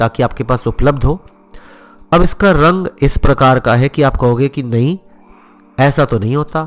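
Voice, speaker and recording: With music in the background, a man speaks at a fairly slow pace and fairly high pitch with ordinary pitch variation. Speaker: cooking show host. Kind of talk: cooking tutorial.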